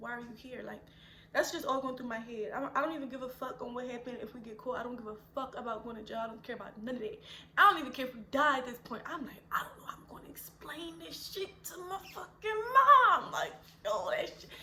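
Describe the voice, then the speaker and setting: Over noticeable background noise, a woman talks very fast in an animated tone, her pitch high, her intonation lively and her loudness swinging widely. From Philadelphia. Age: 20s. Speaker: mother and YouTuber. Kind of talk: casual story time to camera. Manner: animated, expressive.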